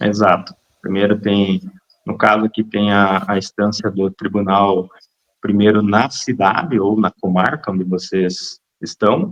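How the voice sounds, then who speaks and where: A man with a Paraná accent, fairly low-pitched, at a fairly slow pace with fairly even intonation, in a dry, close sound with no echo. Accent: Paraná accent, noticeable. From central Paraná, Brazil. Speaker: lawyer. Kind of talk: interview.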